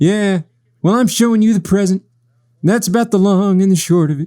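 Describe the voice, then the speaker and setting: In a put-on character voice, a man speaks at a fairly quick pace with a high pitch. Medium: read story. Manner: loud, blunt.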